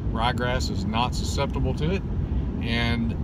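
Loud background noise surrounds a man in a dry sound with no echo. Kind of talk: casual vlog chat. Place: car. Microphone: phone near.

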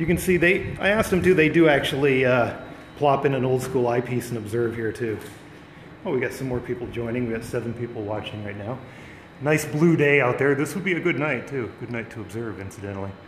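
There is audible room echo and light background noise as a man speaks at a fairly quick pace with ordinary pitch variation. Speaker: live streamer touring observatory. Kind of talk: casual live-stream commentary. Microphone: phone near.

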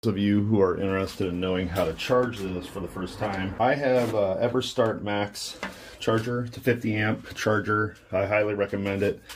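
A man's fairly low-pitched voice, an unremarkable speaking voice, at a moderate pace with fairly even intonation over light background noise. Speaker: DIY demonstrator. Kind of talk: tutorial. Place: workshop. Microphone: phone near.

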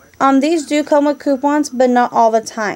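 Noticeable background noise sits behind a woman speaking at a high pitch with fairly even intonation. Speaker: couponing vlogger. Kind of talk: product show-and-tell vlog.

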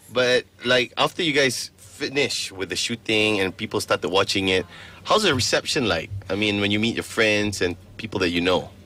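With a bright, sharp tone and a fairly low pitch, a man speaks at a moderate pace with ordinary pitch variation in a dry sound with no echo. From Malaysia. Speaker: radio host. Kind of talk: radio interview. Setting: radio studio. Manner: animated. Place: studio.

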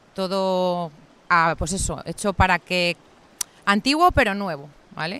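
Recorded very cleanly over a silent background, a woman speaks at medium pitch with a bright, sharp tone. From Madrid, Spain. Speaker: veterinarian and rural guesthouse owner. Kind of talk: interview. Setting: outdoors, sitting on a rock by a river. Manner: hesitant, many fillers.

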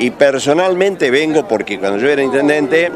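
A man talks at a fairly quick pace with lively intonation. The sound is dry with no echo, though there is noticeable background noise. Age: 70s. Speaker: former mayor, local politician. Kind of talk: street interview. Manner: halting, repetitive. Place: street. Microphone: handheld.

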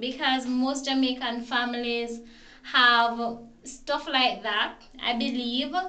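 Very slowly, a woman uses a raised, projected voice with a high pitch and a bright, sharp tone. Room echo is audible. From Jamaica. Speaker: vlogger. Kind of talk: casual talk to camera. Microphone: phone near.

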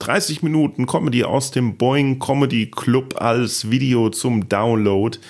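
A man speaks at a very slow pace with vocal fry and a medium pitch, on a very clean recording with a silent background. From Palatinate, Germany. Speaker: podcast host and comedian. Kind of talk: casual chat. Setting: home office.

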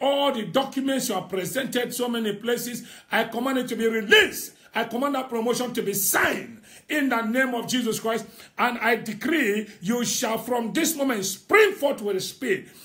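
At a moderate pace, a man talks in an extremely high pitch. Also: ordinary pitch variation. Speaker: prophet leading online prayer. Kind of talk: fervent prophetic prayer declaration over listeners. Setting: Facebook live stream. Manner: emphatic and rousing, urging listeners on. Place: home room. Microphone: phone near.

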